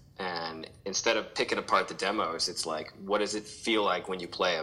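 Over noticeable background noise, a man talks at a fairly quick pace. His pitch is fairly low, with an American accent. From St. Louis, Missouri, US Midwest. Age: 40s. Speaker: pop punk musician. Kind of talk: casual interview chat.

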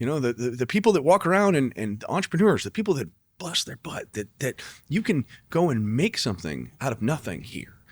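A man with an American accent and a fairly high pitch swings very widely in pitch, showing vocal fry in a dry, close sound with no echo. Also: fairly quick pace. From not Chicago. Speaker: podcast host, real estate team leader. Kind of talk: interview.

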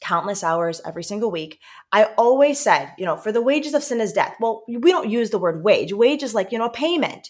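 A plain, everyday voice with an American accent talks at a fairly quick pace. The intonation is lively. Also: woman. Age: 30s. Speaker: missionary. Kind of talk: interview conversation.

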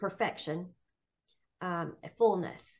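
A woman speaks in a somewhat breathy voice at a fairly low pitch. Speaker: Bible study participant. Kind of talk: group Bible study discussion. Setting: video call.

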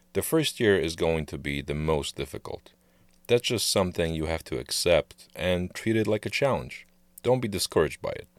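With vocal fry and a very deep, low pitch, a man talks at a moderate pace with lively intonation in a dry, close sound with no echo on a very clean recording with a silent background. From Poland, moved to US at 15. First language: Polish. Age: 30s. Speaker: podcast co-host. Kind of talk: casual chat.

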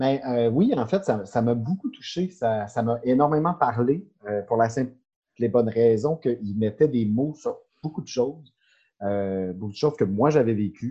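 Against a quiet background, a man with a medium-pitched, dark, mellow voice speaks at a fairly slow pace with lively intonation. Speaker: insurance broker. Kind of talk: casual chat.

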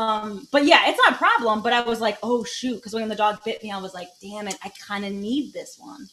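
A woman with an American accent, fairly high-pitched and fairly quick, with fairly even intonation, hardly any pauses, big swings in loudness and noticeable background noise. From Michigan, Detroit area. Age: 30s. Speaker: comedian. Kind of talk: casual chat.

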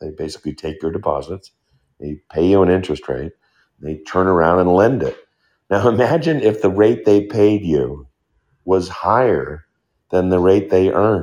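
Against a quiet background, a man with a very deep, low pitch and lively intonation speaks at a moderate pace with long, frequent pauses. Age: 60s. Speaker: economist and professor answering audience questions. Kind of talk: live Q&A lecture. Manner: explanatory, opinionated.

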